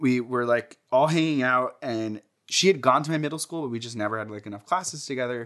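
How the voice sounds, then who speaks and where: This is a man with an American accent and an ordinary speaking voice. His pitch is medium, with ordinary pitch variation. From New Jersey, Jersey City. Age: 20s. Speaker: interviewee sharing personal history. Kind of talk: oral history interview, casual storytelling. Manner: casual, heavy use of filler like.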